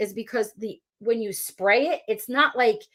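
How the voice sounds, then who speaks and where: Speaking with a New Jersey accent, a woman talks at a moderate pace in an animated tone. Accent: New Jersey (Philadelphia area) American. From South Jersey, US. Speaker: elementary school teacher and YouTuber. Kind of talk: live-stream Q&A, casual chat.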